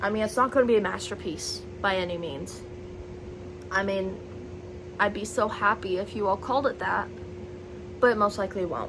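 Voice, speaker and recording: Noticeable background noise behind a woman at a moderate pace, with long, frequent pauses. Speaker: vlogger and aspiring novelist. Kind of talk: casual vlog chat to camera. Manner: loud.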